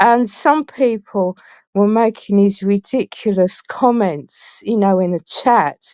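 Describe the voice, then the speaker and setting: A woman speaks very slowly in an English accent. The recording is very clean, with a silent background and a dry, close sound with no echo. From England. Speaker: guest on a talk show. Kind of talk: interview. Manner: halting.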